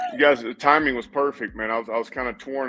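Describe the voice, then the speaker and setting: Music plays in the background. Over it, a man with an American accent speaks at a very fast pace. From Tennessee. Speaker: high school football coach. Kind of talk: casual interview. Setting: studio.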